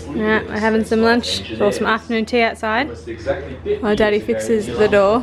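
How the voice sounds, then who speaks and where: With an Australian accent, a woman talks at a moderate pace over noticeable background noise. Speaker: family vlogger. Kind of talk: casual vlog chat. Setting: outdoors; at home. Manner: whispering.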